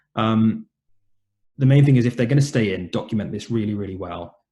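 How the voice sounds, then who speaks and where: This man's voice is somewhat breathy and dark and mellow in tone, medium in pitch with ordinary pitch variation, moving at a fairly quick pace. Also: big swings in loudness. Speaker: doctor presenting webinar talk. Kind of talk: lecture. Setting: online webinar. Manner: fast.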